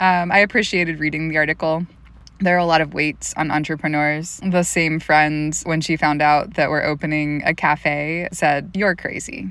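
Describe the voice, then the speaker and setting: With an American accent, a woman speaks in a very deep, low pitch at a moderate pace with ordinary pitch variation. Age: 30s. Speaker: small business owner and podcast host. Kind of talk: solo podcast monologue.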